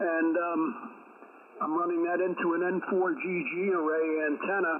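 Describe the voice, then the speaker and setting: This man's high-pitched voice comes through over noticeable background noise. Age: 70s. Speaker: ham radio operator. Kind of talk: radio contact conversation. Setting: amateur radio transmission.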